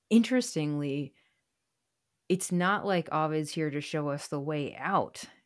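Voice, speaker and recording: Over music in the background, a woman with a very deep, low pitch speaks at a fairly slow pace with ordinary pitch variation and long, frequent pauses. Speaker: podcast host and poet. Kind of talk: conversational interview.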